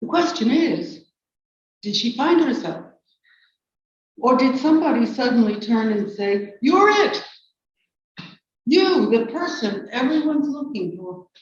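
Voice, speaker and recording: Speaking at a fairly slow pace with long, frequent pauses, a woman with an American accent uses a high pitch and very wide pitch swings. Audible room echo is present. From New York City. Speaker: poet. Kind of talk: poetry reading.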